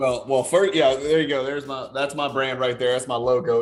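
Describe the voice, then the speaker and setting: The speech moves at a fairly quick pace with fairly even intonation and an American accent. Noticeable background noise runs underneath. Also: man. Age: 40s. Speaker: card collector and lawyer. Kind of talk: casual chat.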